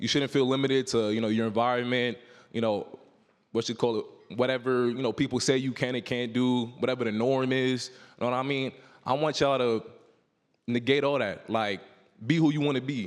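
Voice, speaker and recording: Speaking at a fairly quick pace in a New York accent, a man keeps a medium pitch and fairly even intonation. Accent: New York City. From New York City, Harlem. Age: 20s. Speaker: football player. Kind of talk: motivational speech to youth audience. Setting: stage with audience. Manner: casual, filler-heavy.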